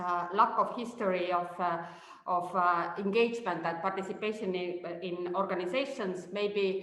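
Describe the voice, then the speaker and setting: Intonation stays fairly even. Noticeable background noise and audible room echo fill the recording. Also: woman, medium pitch for a woman. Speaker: researcher. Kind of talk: webinar presentation. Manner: slow; halting, many fillers.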